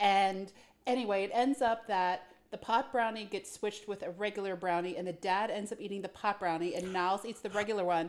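In a very clean recording with a silent background, a woman uses a plain, everyday voice at medium pitch, speaking at a fairly quick pace with fairly even intonation. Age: 40s. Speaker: podcast co-host. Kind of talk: casual chat.

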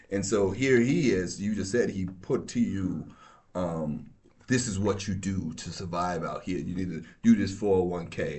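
Audible room echo surrounds a man with a very deep, low voice. He talks at a fairly slow pace with ordinary pitch variation. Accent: American. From New York. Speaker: law enforcement officer. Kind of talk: casual chat.

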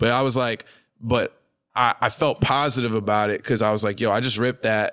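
On a very clean recording with a silent background, a man with a New York accent talks at a fairly quick pace, medium pitch, and monotone, flat intonation. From New York City, Manhattan (Hell's Kitchen). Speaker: rapper. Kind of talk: casual interview chat.

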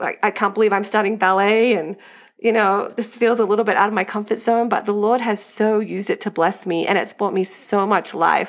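A woman with an American accent talks at a fairly quick pace and medium pitch. Her intonation is monotone and flat, over a quiet background. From Australia. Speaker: homeschooling mom. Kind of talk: casual chat.

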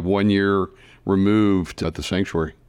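A man with a normal speaking voice and an American accent, at a fairly quick pace, in a quiet background. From US Midwest, Kansas. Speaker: podcast host, magazine editor. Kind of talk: interview. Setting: in person, clubhouse.

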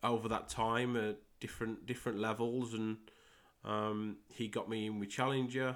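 A man's medium-pitched, monotone voice with flat intonation, fairly slow, in an English Midlands accent on a very clean recording with a silent background. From Midlands, England. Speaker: podcast host and football coach. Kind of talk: solo podcast monologue, pilot episode.

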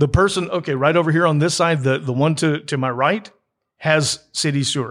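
Against a very clean recording with a silent background, a man with a fairly high pitch and ordinary pitch variation has an unremarkable speaking voice. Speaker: interviewer. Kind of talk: casual interview.

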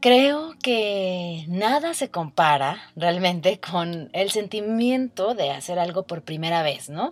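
Her pace is very slow, yet she hardly pauses. This woman's medium-pitched voice carries lively intonation. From Mexico, Guadalajara, Jalisco. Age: 20s. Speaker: podcast host, meditation guide. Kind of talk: casual personal monologue.

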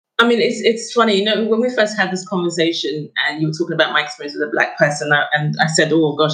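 Very fast speech comes from a woman. Her pitch is fairly low. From Nigeria, moved to UK at six. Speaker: artist. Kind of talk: casual chat.

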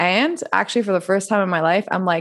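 A woman talks at a moderate pace with medium pitch. She has an ordinary speaking voice. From Montreal, Canada (also France). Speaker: coach, former personal trainer. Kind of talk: casual interview conversation.

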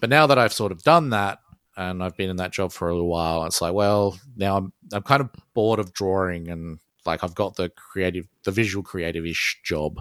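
With an Australian accent, a man with a very deep, low pitch and ordinary pitch variation speaks at a fairly quick pace in a dry, close sound with no echo, on a very clean recording with a silent background. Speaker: solo musician and artist. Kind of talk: casual interview chat. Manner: hesitant, filler-heavy.

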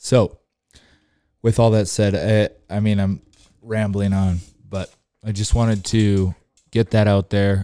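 In a very clean recording with a silent background and a dry, close sound with no echo, a man speaks at a fairly low pitch and a fairly slow pace, with a dark, mellow tone, monotone, flat intonation and long, frequent pauses. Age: 30s. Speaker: podcast host. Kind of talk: casual monologue. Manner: rambling, casual.

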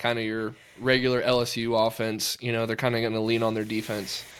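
Speaking at a moderate pace, a man has a plain, everyday voice at a medium pitch. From Texas (Georgetown, near Austin). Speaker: high school football coach, podcast co-host. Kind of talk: casual chat.

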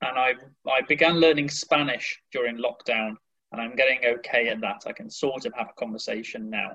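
A man speaks with a West Midlands accent. His pace is moderate. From West Midlands, England (near Birmingham). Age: 20s. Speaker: English teacher. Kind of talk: casual interview.

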